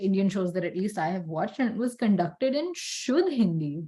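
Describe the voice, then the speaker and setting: A woman's somewhat breathy voice has a dark, mellow tone. It moves at a moderate pace with very wide pitch swings. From Pakistan. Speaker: podcast co-host. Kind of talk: casual chat.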